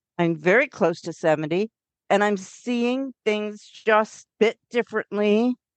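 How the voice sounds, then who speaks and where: At a fairly slow pace, a woman speaks in an unremarkable speaking voice with a fairly high pitch and ordinary pitch variation. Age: 60s. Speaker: author and witchcraft teacher. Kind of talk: interview.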